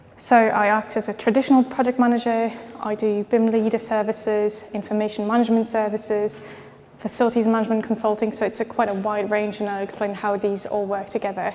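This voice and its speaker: A woman's fairly high, monotone voice with flat intonation at a very fast pace, amid noticeable background noise. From France and Austria. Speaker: project manager and BIM consultant. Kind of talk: conference presentation. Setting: expo stand with audience, microphone. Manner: hesitant, many fillers.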